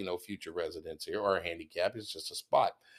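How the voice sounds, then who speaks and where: This speaker has a Texan accent and an animated tone. The delivery moves at a very fast pace. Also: man. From Texas. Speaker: podcast host. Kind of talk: casual chat.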